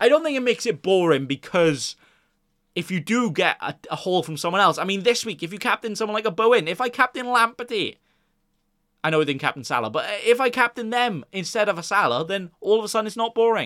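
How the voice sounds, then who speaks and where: A man speaks at a very fast pace with a high pitch, lively intonation and a bright, sharp tone, in a very clean recording with a silent background and a dry, close sound with no echo. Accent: Welsh. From Wales. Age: 20s. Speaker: fantasy football podcaster. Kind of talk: casual chat. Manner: conversational, unscripted.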